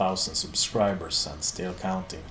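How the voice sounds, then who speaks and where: Music plays behind a man speaking at a moderate pace. The room echo is audible. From Sweden. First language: Swedish. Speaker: metal YouTuber. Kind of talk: Q&A video monologue.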